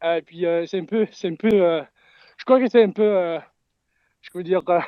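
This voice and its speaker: With ordinary pitch variation, a man talks at a high pitch. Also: moderate pace, big swings in loudness. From Canada. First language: English (speaking French). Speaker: crypto community member. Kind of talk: live audio space talk. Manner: halting.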